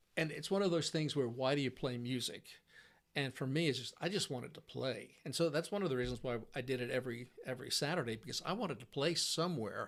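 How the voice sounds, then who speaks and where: A man talks at a very fast pace. His pitch sits in the medium range, with ordinary pitch variation. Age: 60s. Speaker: musician. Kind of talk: casual chat. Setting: in-person interview. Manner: halting.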